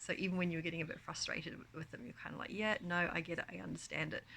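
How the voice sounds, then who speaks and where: Here a woman speaks in a bright, sharp tone. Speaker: author and book vlogger. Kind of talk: casual chat. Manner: hesitant, many ums.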